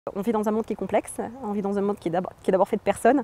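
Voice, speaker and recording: A woman speaks at a fairly high pitch with fairly even intonation. The sound is dry and close, with no echo. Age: 30s. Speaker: environmental agency engineer. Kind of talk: interview. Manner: hesitant, many fillers.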